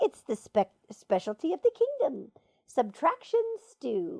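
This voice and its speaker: Putting on a character voice, a woman speaks with a high pitch. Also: fairly slow pace. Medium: read story. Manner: pedantic, explanatory.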